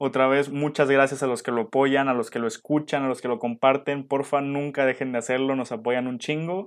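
A man with a Mexican accent, fairly high in pitch, at a fairly quick pace. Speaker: podcast co-host. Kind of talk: casual chat. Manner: animated.

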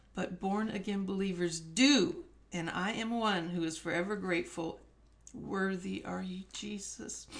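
A woman with a medium, somewhat breathy voice speaks at a fairly slow pace with ordinary pitch variation. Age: 60s. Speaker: guest sharing faith story. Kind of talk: testimony.

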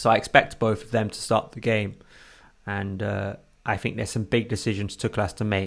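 Fairly low in pitch with vocal fry, a man speaks at a fairly quick pace with fairly even intonation. His loudness swings widely, and the recording is very clean with a silent background. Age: 20s. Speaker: football podcast co-host. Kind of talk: casual chat.

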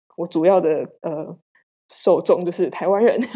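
This woman has a normal speaking voice, medium in pitch with ordinary pitch variation. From Taiwan. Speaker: wine export manager. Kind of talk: interview.

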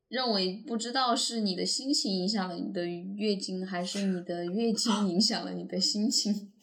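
A somewhat breathy woman's voice at medium pitch, fairly slow in pace, with ordinary pitch variation. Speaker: podcast co-host. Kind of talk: casual chat.

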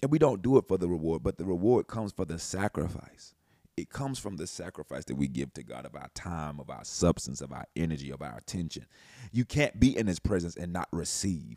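A man with a very deep, low pitch and a dark, mellow tone, plus vocal fry, very wide pitch swings, big swings in loudness and a fairly quick pace, in a dry, close sound with no echo. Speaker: podcast host. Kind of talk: fervent prayer, earnest and devotional, spoken to God. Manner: fervent, heartfelt, earnest.

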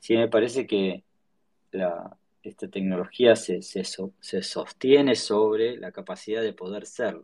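Medium-pitched man speaking fairly slowly, with ordinary pitch variation. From Argentina, Patagonia (Choele Choel, Río Negro). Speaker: tech startup founder. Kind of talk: casual interview. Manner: halting, many repetitions and fillers.

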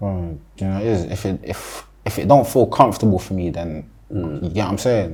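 A man with a London accent talks in a very deep, low pitch. He keeps a moderate pace with hardly any pauses. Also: ordinary pitch variation. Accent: London Multicultural English. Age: 20s. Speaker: rapper. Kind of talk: interview. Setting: studio.

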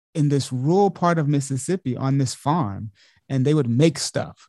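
A man with an American accent talks at a moderate pace in a fairly high pitch, his tone dark and mellow. Pitch variation is ordinary, and the sound is dry and close with no echo. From Montgomery, Alabama (US South). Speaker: dancer, choreographer and professor. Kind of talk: interview.

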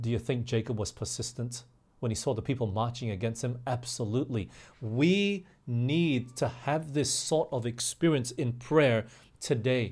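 A man with an American accent talks at a moderate pace, his medium pitch showing ordinary variation and a somewhat breathy quality. The recording is very clean, with a silent background. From Australia (also England and US). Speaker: pastor. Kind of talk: sermon.

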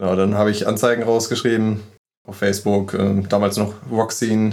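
A man with an unremarkable speaking voice, medium pitch and a moderate pace. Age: 20s. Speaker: metal band guitarist. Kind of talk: casual interview chat.

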